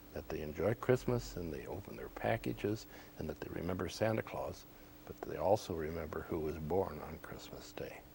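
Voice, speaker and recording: With an American accent, a man talks at a moderate pace in a very deep, low voice with a dark, mellow tone, vocal fry, very wide pitch swings and big swings in loudness. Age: 70s. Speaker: former department store Santa Claus, realtor. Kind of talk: TV interview, reminiscing. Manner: hesitant, many fillers.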